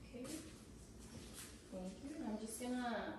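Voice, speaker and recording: A woman with a fairly high pitch speaks in a calm tone with lively intonation. Noticeable background noise and strong room echo fill the recording. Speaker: nurse or clinician performing a physical assessment. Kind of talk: clinical assessment narration, unscripted. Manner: calm, procedural, with filler words. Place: home room.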